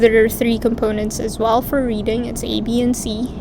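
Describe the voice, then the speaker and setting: Someone with a non-native accent speaks in a flat monotone, with noticeable background noise and audible room echo. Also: woman. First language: not English. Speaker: international medical graduate. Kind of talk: explainer video.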